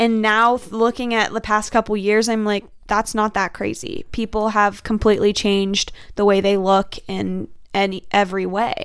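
A woman with an American accent talks at a moderate pace in a normal speaking voice. Her pitch is fairly high and her intonation fairly even. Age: 20s. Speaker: nursing student. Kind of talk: casual chat. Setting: studio.

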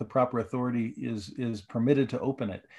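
Over a quiet background, a man speaks fairly quickly with a dark, mellow tone and ordinary pitch variation. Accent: American. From Southern California. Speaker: religious educator. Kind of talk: casual interview. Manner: halting.

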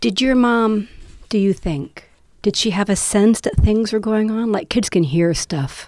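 On a very clean recording with a silent background, the voice moves with ordinary pitch variation. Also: woman, fairly high pitch for a woman. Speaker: poet and podcast host. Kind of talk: casual chat with poetry readings. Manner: loud; animated.

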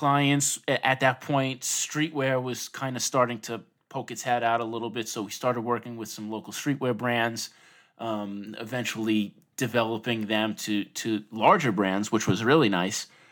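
At a moderate pace, a man with a New York accent talks at medium pitch with ordinary pitch variation. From Long Island, New York. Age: 30s. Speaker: designer and hand letterer. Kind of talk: interview, casual conversation.

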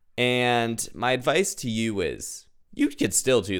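Loud and animated, a man speaks at a medium pitch with vocal fry. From New England. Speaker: student podcast host. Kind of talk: casual chat; scripted narration.

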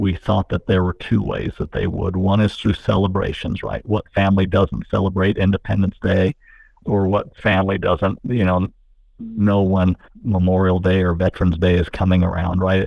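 With a Utah accent, a man speaks at a moderate pace in a very deep, low pitch and a monotone, flat intonation. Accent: American (Utah). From Utah, St. George. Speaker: nonprofit founder and former educator. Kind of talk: radio interview. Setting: phone call.

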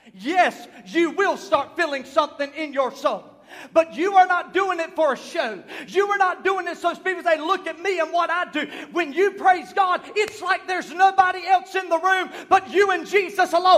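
A man with an American accent talks at a moderate pace, his pitch extremely high with ordinary variation. Noticeable background noise is present. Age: 30s. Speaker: pastor. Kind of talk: Pentecostal sermon building to a fiery, prophetic climax. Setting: church service with congregation. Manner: impassioned, rising preacher cadence with repeated refrains; loud, emphatic, call-and-response exhortation.

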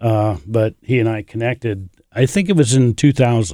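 A man speaks with a Midwestern American accent. The sound is dry and close, with no echo. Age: 60s. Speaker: barn reclamation business partner, former tech worker. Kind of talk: casual interview.

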